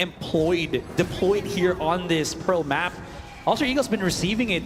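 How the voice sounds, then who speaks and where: Music plays behind a man who speaks with a non-native accent at a moderate pace. His voice is high, with ordinary pitch variation. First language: not English. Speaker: esports caster. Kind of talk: live commentary. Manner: animated.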